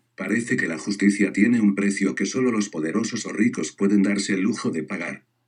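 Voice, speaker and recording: At a moderate pace, a man uses a plain, everyday voice, fairly low in pitch with ordinary pitch variation. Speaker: education student. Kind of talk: scripted narration.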